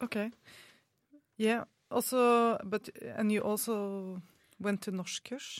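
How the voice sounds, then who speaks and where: A woman speaks in a Norwegian accent, monotone and flat, at a very slow pace with long, frequent pauses. The sound is dry and close, with no echo. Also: fairly high pitch for a woman. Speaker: student radio co-host. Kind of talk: live radio interview. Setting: studio.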